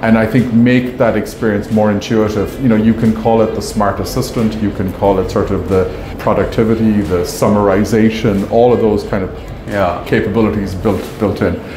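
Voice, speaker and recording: A man speaks in a fairly low pitch with monotone, flat intonation. Noticeable background noise is present. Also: moderate pace. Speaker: company marketing executive. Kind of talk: interview answer. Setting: trade show booth. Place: hall. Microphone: lapel.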